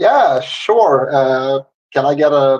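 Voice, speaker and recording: A man with a non-native accent, fairly high in pitch, in a dry, close sound with no echo. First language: not English. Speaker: panelist. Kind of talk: casual chat.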